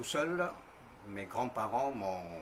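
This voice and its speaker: Over noticeable background noise, a man at a medium pitch speaks very slowly with lively intonation. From New Caledonia, north. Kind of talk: testimony. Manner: halting, frequent hesitations.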